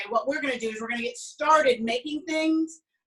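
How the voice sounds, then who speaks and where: With a strong Southern US accent, a woman talks with ordinary pitch variation. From US South (Alabama). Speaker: cooking instructor. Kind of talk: online cooking class. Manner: chatty, many fillers.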